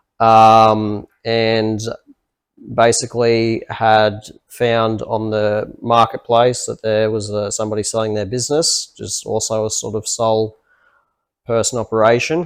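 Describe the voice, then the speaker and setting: A man with an Australian accent speaks at a medium pitch and a fairly slow pace in monotone, flat intonation. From Australia, Gold Coast. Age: 20s. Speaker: accountant, podcast co-host. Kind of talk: casual chat.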